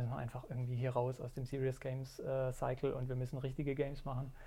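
At a very fast pace, a man with a medium pitch speaks in a dark, mellow, somewhat breathy tone with fairly even intonation. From Germany. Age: 40s. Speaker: indie game developer. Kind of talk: casual chat. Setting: studio.

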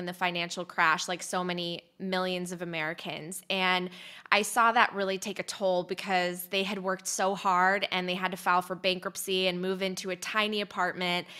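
On a very clean recording with a silent background, a woman speaks fairly quickly at a medium pitch in a bright, sharp tone with monotone, flat intonation. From US (born in Poland, moved at five). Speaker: podcast host and former journalist. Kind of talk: interview. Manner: eloquent.

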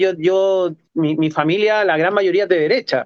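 A man speaks fairly slowly with a Chilean accent and a high pitch. The sound is dry and close, with no echo. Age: 40s. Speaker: street artist and photographer. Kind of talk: casual chat.

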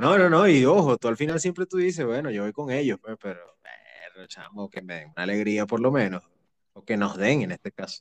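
In a dry, close recording with no echo, a man with a Venezuelan accent uses a medium pitch, very wide pitch swings, and big swings in loudness. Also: moderate pace. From Venezuela, Caracas. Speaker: podcast host. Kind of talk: casual chat.

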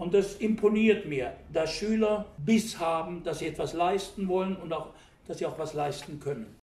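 The man's pitch is high and his pace moderate. Audible room echo surrounds his voice. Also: ordinary pitch variation. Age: 70s. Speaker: German teacher. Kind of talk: interview.

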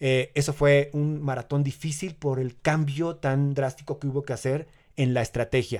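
At a moderate pace, a man speaks in a fairly high, monotone, flat voice on a very clean recording with a silent background. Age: 40s. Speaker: amateur marathon runner. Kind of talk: casual interview.

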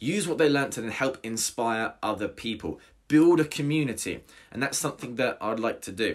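On a very clean recording with a silent background, a man in a southern English accent talks at a fairly quick pace, medium in pitch with lively intonation. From southern England, Hampshire. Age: 20s. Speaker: personal trainer and podcast host. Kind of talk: solo podcast monologue. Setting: home recording without studio equipment.

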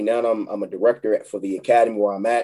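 Speaking with a Philadelphia accent at a very fast pace, a man has a dark, mellow tone, medium pitch and ordinary pitch variation. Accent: Philadelphia-area urban American. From Chester, Pennsylvania. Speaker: youth court liaison and football coach. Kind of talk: casual interview. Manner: halting, repetitive starts.

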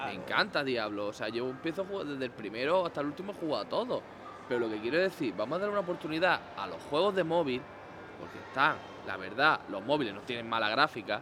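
A man speaks at a very fast pace, his fairly high pitch making very wide swings. Noticeable background noise is present. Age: 20s. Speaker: gaming podcaster. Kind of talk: casual chat.

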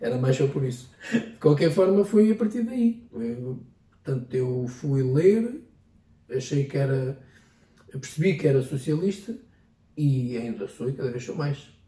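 The voice has a dark, mellow tone and is somewhat breathy. It moves at a fairly slow pace with very wide pitch swings. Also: man, fairly high pitch for a man. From Portugal, Ferrel (Peniche area). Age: 20s. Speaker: local politician. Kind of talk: interview. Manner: halting.

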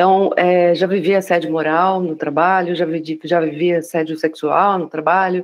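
Intonation here stays fairly even. It comes in an unremarkable speaking voice. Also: woman. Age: 40s. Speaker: diversity and inclusion specialist. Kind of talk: casual conversation.

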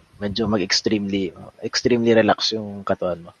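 This man talks at a fairly quick pace. His pitch is fairly low, and his intonation stays monotone and flat. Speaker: cycling podcast host. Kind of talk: casual chat.

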